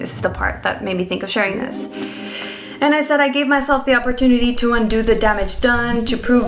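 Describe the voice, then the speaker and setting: Speaking fairly quickly in a Spanish accent, a woman with a fairly high pitch is heard amid audible room echo and noticeable background noise. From Mexico. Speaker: vlogger. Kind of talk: casual vlog.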